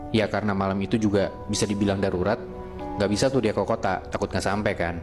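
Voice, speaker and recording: Over music in the background, a man with a fairly low pitch talks at a very fast pace, with fairly even intonation and very even loudness. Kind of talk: horror story told in casual podcast chat. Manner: casual, conversational.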